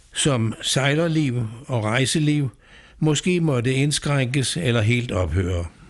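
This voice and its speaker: The speech comes at a very slow pace with lively intonation. The background is quiet. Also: man. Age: 80s+. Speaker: patient advocate. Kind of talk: scripted narration. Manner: formal.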